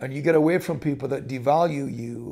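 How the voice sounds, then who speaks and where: A dark, mellow tone at a moderate pace, with ordinary pitch variation and a quiet background. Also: man. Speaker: pastor and leadership speaker. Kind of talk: motivational talk to camera. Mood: calm, thoughtful. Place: home room. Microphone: phone near.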